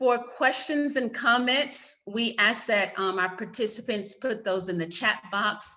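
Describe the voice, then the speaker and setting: A woman with a Southern US accent, fairly slow pace and ordinary pitch variation. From US South. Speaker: panel moderator, lawyers' organization staff. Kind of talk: conference moderation. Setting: video call.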